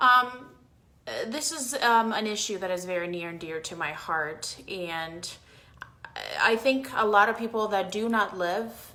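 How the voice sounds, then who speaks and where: A woman with an American accent speaks at medium pitch in a bright, sharp, animated tone. Her pitch varies in an ordinary way, and room echo is audible. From Cuba (emigrated to US at ten). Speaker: political commentator. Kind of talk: livestream talk. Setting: Facebook live video.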